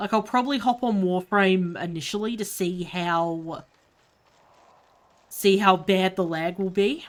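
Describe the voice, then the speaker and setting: In a very clean recording with a silent background, a woman with an Australian accent speaks at a medium pitch and a fairly slow pace, with ordinary pitch variation and long, frequent pauses. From Australia, Melbourne. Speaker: gaming streamer. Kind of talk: casual live-stream commentary. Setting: live stream while gaming.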